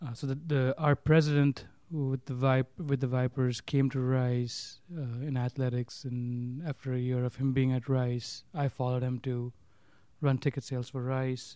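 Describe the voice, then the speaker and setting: Speaking at a moderate pace, a man with a medium-pitched, dark, mellow voice keeps a monotone, flat intonation. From India. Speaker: university athletics development staff. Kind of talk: interview.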